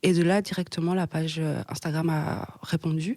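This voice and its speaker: The woman's tone is dark and mellow. Her voice sits fairly low. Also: dry, close sound with no echo. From Belgium, Hainaut region near Mons. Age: 20s. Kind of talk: podcast interview answer. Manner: hesitant, conversational.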